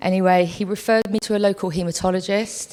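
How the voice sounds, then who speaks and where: Using a normal speaking voice, a woman talks at a fairly quick pace and medium pitch with fairly even intonation. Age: 40s. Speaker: patient speaker. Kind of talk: testimony.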